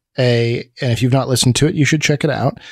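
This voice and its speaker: Recorded dry with no echo against a quiet background, a man speaks with ordinary pitch variation. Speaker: podcast host. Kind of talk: podcast conversation. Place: home room. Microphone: studio mic.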